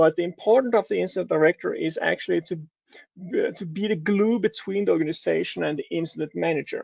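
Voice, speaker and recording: A man with a Danish accent talks at a very fast pace. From Denmark. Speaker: cybersecurity advisor. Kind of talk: conference talk. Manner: halting, many filler sounds.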